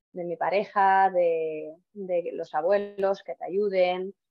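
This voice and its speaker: Music plays behind a woman who speaks very slowly in a flat monotone. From Estonia. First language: Estonian (speaking Spanish). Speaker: physiotherapist. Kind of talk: interview. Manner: halting.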